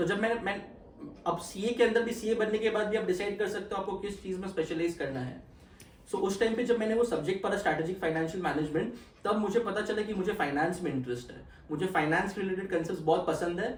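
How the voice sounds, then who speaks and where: Over noticeable background noise and audible room echo, a man talks at a high pitch with ordinary pitch variation. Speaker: chartered accountant. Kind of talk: interview. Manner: code-switching Hindi and English.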